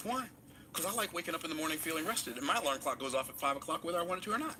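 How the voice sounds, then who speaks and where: Amid noticeable background noise, a high-pitched man talks at a very fast pace in an animated tone with lively intonation. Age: 60s. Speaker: motivational speaker. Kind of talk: motivational talk.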